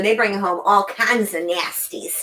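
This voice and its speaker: Loud delivery with a bright, sharp tone and ordinary pitch variation. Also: woman. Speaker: livestream host. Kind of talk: casual live chat reading comments. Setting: solo livestream. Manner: chatty, rambling with fillers.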